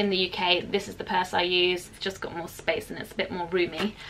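A woman talking at a very fast pace over light background noise. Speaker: vlogger. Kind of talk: casual vlog chat. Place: home room.

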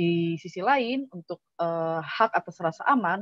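In a normal speaking voice with ordinary pitch variation, the speech comes through a dry sound with no echo against a quiet background. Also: woman. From Indonesia. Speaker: digital rights advocate; webinar presenter. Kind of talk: presentation. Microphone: video call.

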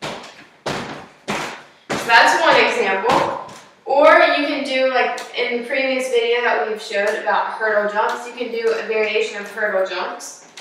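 Strong room echo surrounds a woman's high voice as she speaks at a fairly slow pace with ordinary pitch variation, over light background noise. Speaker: fitness instructor. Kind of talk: tutorial. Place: home room. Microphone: camera far.

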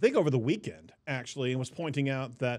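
The background is quiet as a man talks. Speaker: podcast host. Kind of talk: news commentary. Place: studio. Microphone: studio mic.

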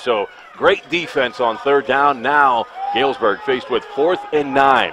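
Noticeable background noise runs under the clip. A man speaks at a fairly high pitch. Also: dry sound with no echo. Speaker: radio play-by-play announcer. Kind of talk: live radio sports commentary, rapid play-by-play of a high school football game. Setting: radio broadcast from stadium press box. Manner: fast, energetic play-by-play delivery with clipped down-and-distance calls. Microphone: headset.

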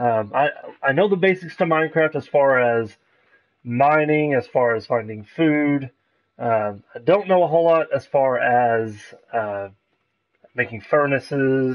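A man talks at a fairly slow pace, with long, frequent pauses. The background is quiet. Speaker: game streamer. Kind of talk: casual live-stream chat. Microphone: headset.

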